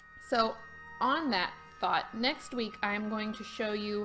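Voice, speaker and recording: There is faint music in the background. A woman speaks over it at a moderate pace. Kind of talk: tutorial. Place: home room.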